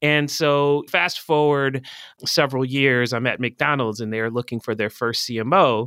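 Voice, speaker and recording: A man with an American accent and an ordinary speaking voice, medium pitch, ordinary pitch variation and a fairly slow pace, on a very clean recording with a silent background. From Philadelphia, US. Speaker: marketing executive. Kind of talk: interview conversation.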